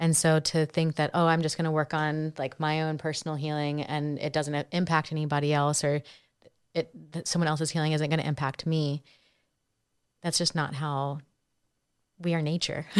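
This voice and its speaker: A woman with an American accent, a very deep, low pitch and monotone, flat intonation, at a moderate pace with long, frequent pauses, in a very clean recording with a silent background. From North Carolina. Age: 30s. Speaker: therapist and nonprofit founder. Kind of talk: casual interview.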